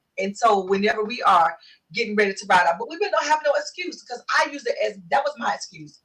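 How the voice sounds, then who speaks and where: Talking at a very fast pace, a woman with fairly high pitch sounds animated, her pitch swinging very widely and her loudness swinging a lot. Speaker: talk show host. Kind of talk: interview. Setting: live video stream.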